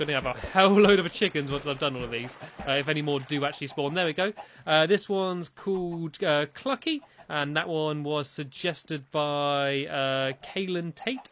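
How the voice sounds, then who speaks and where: A man with a plain, everyday voice speaks at a moderate pace, his pitch fairly high for a man and his pitch variation ordinary. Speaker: gaming video creator. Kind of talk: gameplay commentary.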